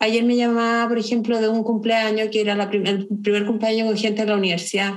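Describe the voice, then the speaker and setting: Speaking fairly quickly with hardly any pauses, a woman with a Chilean accent holds a fairly high pitch in a flat, monotone delivery at very even loudness. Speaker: podcast co-host. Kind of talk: casual chat.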